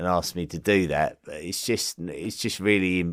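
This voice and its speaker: A man's very deep, low voice in an Essex accent. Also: very clean recording, silent background. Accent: Essex accent, toned down when broadcasting. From England, Essex. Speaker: history podcast host. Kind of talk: podcast listener mail segment. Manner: hesitant, many fillers and repetitions.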